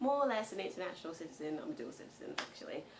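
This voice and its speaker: Her pitch swings very widely as a woman speaks against audible room echo. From England. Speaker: vlogger. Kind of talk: casual chat. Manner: hesitant, many fillers.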